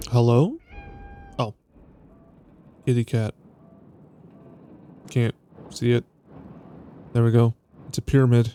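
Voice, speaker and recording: A man's medium-pitched voice in a relaxed tone at a moderate pace, with long, frequent pauses and a dry, close sound with no echo. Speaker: vtuber. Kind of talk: reading game text aloud with commentary. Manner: chill, relaxed, casual.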